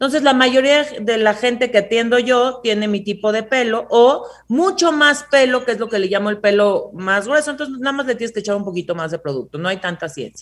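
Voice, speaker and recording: A woman's normal speaking voice, fairly high in pitch, with lively intonation, a fairly quick pace and hardly any pauses. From Mexico. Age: 30s. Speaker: hair care entrepreneur. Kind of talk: interview. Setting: video call.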